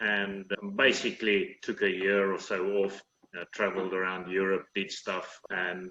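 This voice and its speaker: Bright and sharp in tone, a man's voice sits at a fairly low pitch. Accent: South African. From South Africa, Cape Town. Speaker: managing director of engineering company. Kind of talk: interview.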